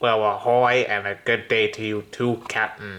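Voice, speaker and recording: Putting on a character voice, a man speaks at medium pitch and a moderate pace in a very clean recording with a silent background. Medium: read story. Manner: hearty, nautical slang.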